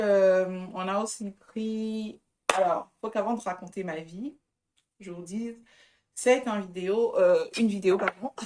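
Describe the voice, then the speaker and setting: Speaking at a very slow pace, a woman with a fairly high pitch has a dark, mellow tone and big swings in loudness. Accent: non-native. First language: not French (speaking French). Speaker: vlogger. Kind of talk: casual vlog. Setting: outdoor market.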